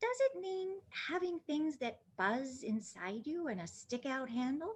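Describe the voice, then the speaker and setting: Putting on a character voice, a woman speaks in a timid tone at a high pitch, with very wide pitch swings and a fairly slow pace. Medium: read story. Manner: timid, wondering.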